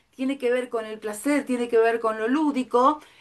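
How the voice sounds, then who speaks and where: This woman's fairly high voice has an animated tone. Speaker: art therapy teacher. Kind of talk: lecture.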